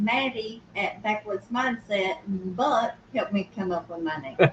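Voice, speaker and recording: With a strong Southern US accent, a woman speaks at a very slow pace and a fairly high pitch. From Georgia, US South. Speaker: youtuber. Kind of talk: casual chat.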